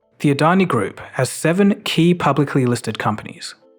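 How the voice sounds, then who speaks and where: A man's lively intonation over music in the background. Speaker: documentary narrator. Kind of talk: documentary narration.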